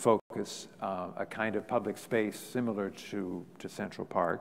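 Light background noise sits behind a man speaking at a fairly slow pace. His pitch is fairly low, with ordinary pitch variation. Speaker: guest lecturer. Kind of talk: lecture. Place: hall. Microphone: podium.

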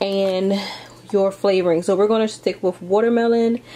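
A woman is speaking. Light background noise is present. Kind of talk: tutorial.

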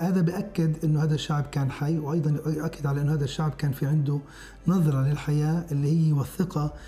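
A man's moderate-paced talk in a monotone, flat intonation at very even loudness, with light background noise. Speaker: interviewee. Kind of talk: interview answer. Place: studio. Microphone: lapel.

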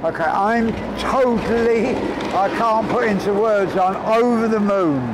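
A man talks fairly slowly while noticeable background noise carries on. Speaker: homelessness campaigner, ex-homeless reformed drug addict. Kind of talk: casual talk to camera. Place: street.

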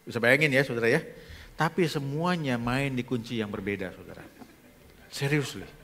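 With a bright, sharp tone, a man speaks with ordinary pitch variation, big swings in loudness, and long, frequent pauses. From Indonesia, Bogor (West Java); West Java, Indonesia. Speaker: pastor. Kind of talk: sermon. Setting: church. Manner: animated. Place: church. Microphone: headset.

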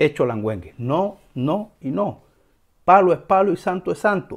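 A man's voice with vocal fry and very wide pitch swings, at a fairly slow pace, over a quiet background. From Cuba. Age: 40s. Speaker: religious teacher and video host; religious teacher, video host. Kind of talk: educational monologue. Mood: earnest, emphatic. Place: home room. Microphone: lapel.

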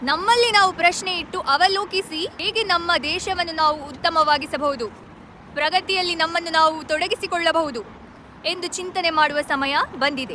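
A woman's extremely high, raised and projected voice with ordinary pitch variation, over noticeable background noise. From India. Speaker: video blogger. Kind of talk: direct-to-camera address.

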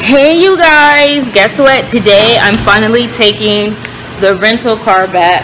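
Here a woman is speaking. Music plays in the background. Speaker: vlogger. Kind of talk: casual vlog chat. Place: car. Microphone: phone near.

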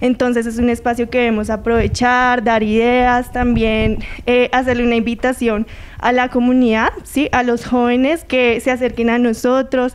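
Speaking at a high pitch and moderate pace, a woman keeps a monotone, flat intonation and very even loudness. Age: 20s. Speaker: youth council member. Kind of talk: TV interview. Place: studio. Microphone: handheld.

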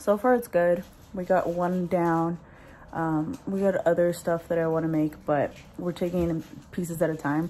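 A woman speaks at a moderate pace in a flat monotone with a dark, mellow tone, over light background noise. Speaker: vlogger. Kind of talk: casual vlog chat. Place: kitchen. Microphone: phone near.

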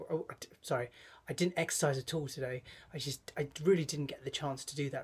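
Fairly quick and somewhat breathy, the man's delivery moves along. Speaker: vlogger. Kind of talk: casual vlog chat. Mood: reflective, advice-giving. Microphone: phone near.

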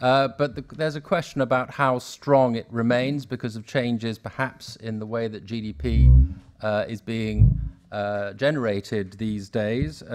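A man talks at a fairly slow pace with ordinary pitch variation. His loudness swings a lot. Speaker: panel moderator. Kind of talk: moderator introduction. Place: hall. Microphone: podium.

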